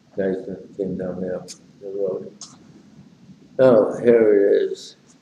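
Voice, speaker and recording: The voice moves at a fairly slow pace, with audible room echo and light background noise. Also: man. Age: 90s. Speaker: amateur poet. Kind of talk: casual spoken introduction. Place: home room. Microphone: webcam.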